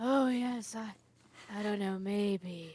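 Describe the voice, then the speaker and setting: A female-sounding voice at a medium pitch performs a put-on character voice. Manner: listless, noncommittal, brooding.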